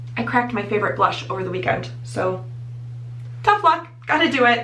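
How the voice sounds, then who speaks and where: Amid noticeable background noise and audible room echo, a woman with an American accent speaks at a moderate pace. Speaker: beauty vlogger. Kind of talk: tutorial. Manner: casual, chatty.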